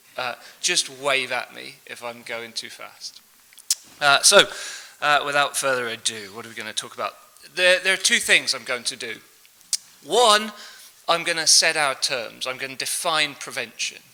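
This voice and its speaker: A man's fairly high voice with lively intonation, big swings in loudness and long, frequent pauses, over noticeable background noise. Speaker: professor. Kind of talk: lecture. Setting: conference stage with audience and translators. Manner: fast.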